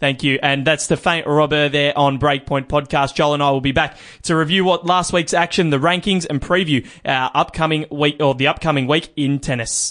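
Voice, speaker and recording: Speaking at a moderate pace with hardly any pauses, a man with an Australian accent keeps a fairly high pitch and very even loudness. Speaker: podcast host. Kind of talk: news reading; casual chat. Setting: studio.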